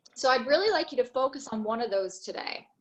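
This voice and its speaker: This is a woman speaking. Her pitch sits high. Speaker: yoga teacher. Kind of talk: yoga class instruction.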